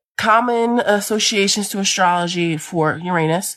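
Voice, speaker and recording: The woman talks at a fairly low pitch over a quiet background. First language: not English. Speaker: amateur astrology content creator. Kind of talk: casual explainer video. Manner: casual, conversational.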